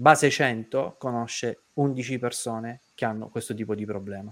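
This man speaks. His pace is very slow. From Sicily (Caltagirone). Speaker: debt-relief show host. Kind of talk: live online talk show. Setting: studio livestream.

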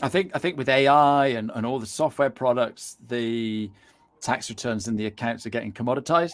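Moderate pace with ordinary pitch variation. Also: man. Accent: British. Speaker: podcast host. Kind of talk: interview chat. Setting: live video show.

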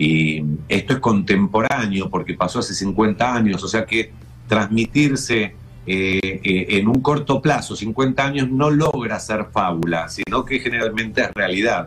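Over music in the background, a man with a fairly low pitch speaks at a fairly slow pace, his intonation lively and his loudness very even. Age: 60s. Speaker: TV show creator. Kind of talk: casual chat.

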